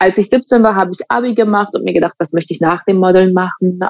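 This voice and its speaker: Here a woman speaks at medium pitch with ordinary pitch variation. The sound is dry and close, with no echo. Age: 20s. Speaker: fashion model. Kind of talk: podcast interview. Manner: hesitant, many fillers.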